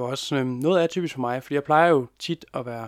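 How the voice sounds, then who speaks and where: On a very clean recording with a silent background, a man talks at a moderate pace and medium pitch in a plain, everyday voice. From West Jutland, Denmark. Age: 20s. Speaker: youth mental health volunteer and family carer. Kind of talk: interview.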